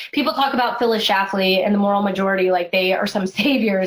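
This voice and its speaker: A woman talks at a very fast pace in a medium pitch. Her pitch variation is ordinary, and there is noticeable background noise. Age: 30s. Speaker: pro-life activist, head of a feminist organization. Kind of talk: casual interview chat.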